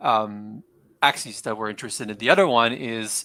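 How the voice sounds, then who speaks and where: In an American accent, a man talks with a bright, sharp tone. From half French, half American. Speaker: tech startup co-founder. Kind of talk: casual interview.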